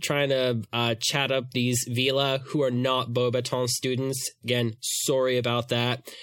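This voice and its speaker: This man has an unremarkable speaking voice at medium pitch. He talks at a fairly slow pace. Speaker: podcast host. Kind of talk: casual chat.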